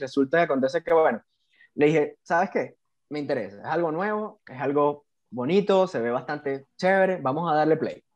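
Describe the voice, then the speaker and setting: A man with a Venezuelan accent, ordinary pitch variation and a quiet background. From Venezuela, Puerto Ordaz (Bolívar state). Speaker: civil engineer, BIM specialist. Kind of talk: casual interview.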